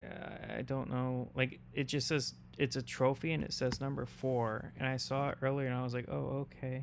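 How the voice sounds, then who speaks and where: Soft-spoken, a man talks at a moderate pace with hardly any pauses. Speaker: streamer. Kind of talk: casual chat. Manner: halting.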